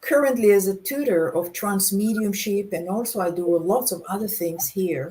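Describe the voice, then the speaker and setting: This woman speaks at a moderate pace with a medium pitch. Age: 60s. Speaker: trance medium and spiritual tutor. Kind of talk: interview. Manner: halting.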